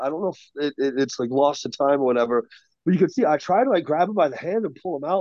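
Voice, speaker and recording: A man speaks with an American accent in a dark, mellow tone against a quiet background. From Washington state, US. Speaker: professional wrestler. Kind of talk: casual chat.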